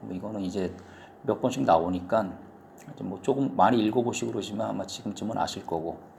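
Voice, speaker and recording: Talking at a very fast pace, a man with a fairly low pitch and ordinary pitch variation shows big swings in loudness, with audible room echo. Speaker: Japanese language teacher. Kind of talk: lecture. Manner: casual, with hesitations.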